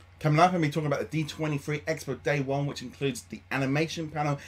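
Somewhat breathy, a man's speech moves at a very fast pace. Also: hardly any pauses. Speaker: vlogger news host. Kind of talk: casual vlog chat. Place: home room. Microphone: webcam.

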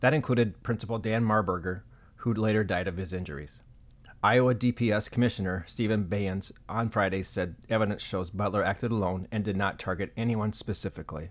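A man with a fairly low pitch and an unremarkable speaking voice talks at a fairly quick pace with ordinary pitch variation. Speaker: news reporter. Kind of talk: news reading, scripted, read in a steady, serious broadcast style. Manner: formal, measured, even-paced and neutral.

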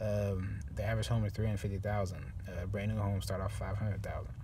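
A man speaks at a fairly quick pace and a fairly low pitch. His pitch barely moves.

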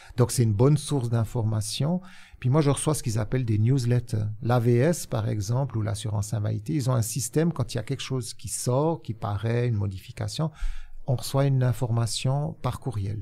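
The voice has a dark, mellow tone and sounds somewhat breathy. It moves at a moderate pace. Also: man, medium pitch for a man, ordinary pitch variation. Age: 60s. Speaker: social insurance consultant; guest. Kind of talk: interview. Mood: relaxed, good-humoured. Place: studio. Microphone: studio mic.

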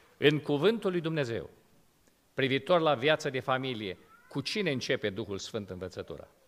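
This man's intonation is lively while he talks at a fairly slow pace. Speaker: pastor. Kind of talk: sermon. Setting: church. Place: church. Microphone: podium.

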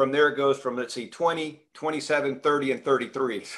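A man with a fairly high pitch and bright, sharp tone, at a very slow pace against a quiet background. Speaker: interview show host. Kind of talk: casual interview. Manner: excitable. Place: home room. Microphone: video call.

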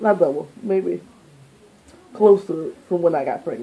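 With an American accent, a woman speaks at a fairly slow pace and uses ordinary pitch variation. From New Orleans, Louisiana. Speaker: beauty vlogger. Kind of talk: casual vlog to camera. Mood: animated, expressive. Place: home room. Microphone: phone near.

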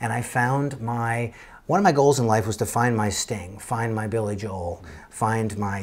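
A man with an American accent and a somewhat breathy voice speaks at a moderate pace with ordinary pitch variation. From Connecticut, then El Paso, Texas from age 11; Connecticut. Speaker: session and touring drummer; guest. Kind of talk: interview. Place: home room.

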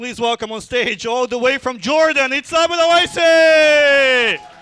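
At a moderate pace, a man with an extremely high pitch projects a raised voice in a bright, sharp, animated tone. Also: hardly any pauses, big swings in loudness. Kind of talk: stand-up comedy. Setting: stage with audience. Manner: animated, jokey, banter with the audience.

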